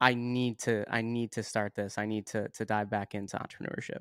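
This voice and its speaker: On a very clean recording with a silent background and a dry, close sound with no echo, a man with a plain, everyday voice speaks at a moderate pace in a medium pitch with fairly even intonation. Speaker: podcast host. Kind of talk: interview.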